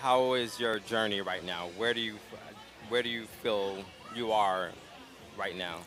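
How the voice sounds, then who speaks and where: A man speaks at a fairly slow pace with a fairly low pitch and fairly even intonation. There are long, frequent pauses, and audible room echo can be heard. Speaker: community organization host. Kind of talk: live interview. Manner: calm.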